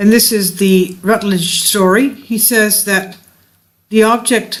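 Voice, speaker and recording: Speaking at a fairly slow pace, a woman keeps a medium pitch with fairly even intonation. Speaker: video narrator. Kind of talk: reading aloud. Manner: halting.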